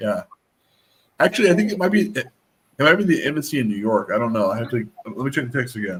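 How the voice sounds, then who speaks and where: Talking at a very fast pace yet with long, frequent pauses, a man with a fairly high, somewhat breathy voice swings his pitch very widely. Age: 30s. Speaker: seminary student and livestream host. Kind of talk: casual chat.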